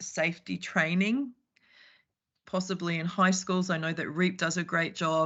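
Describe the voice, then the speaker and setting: Woman with a New Zealand accent, a fairly low pitch and monotone, flat intonation. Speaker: public submitter at council hearing. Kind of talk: formal submission. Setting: video call.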